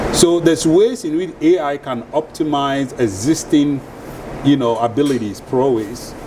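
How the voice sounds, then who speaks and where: A man's fairly high voice with lively intonation, audible room echo and noticeable background noise. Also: moderate pace. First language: a Ghanaian or other African language. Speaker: venture capitalist. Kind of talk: panel discussion. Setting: stage with live audience.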